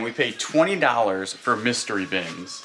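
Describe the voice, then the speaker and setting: A man's voice over noticeable background noise. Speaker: reseller. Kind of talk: casual vlog chat. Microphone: phone near.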